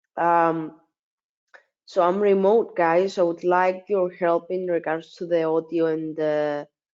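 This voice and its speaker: A woman talks at a fairly slow pace in a fairly low pitch. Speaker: forex trading webinar presenter. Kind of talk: webinar. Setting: remote webinar. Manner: hesitant, many fillers.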